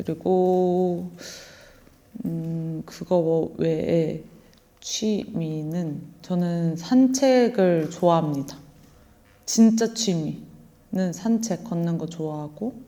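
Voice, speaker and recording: A woman speaks at a very slow pace in a fairly low voice with a dark, mellow tone. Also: ordinary pitch variation. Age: 20s. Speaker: actor. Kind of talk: interview. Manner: halting.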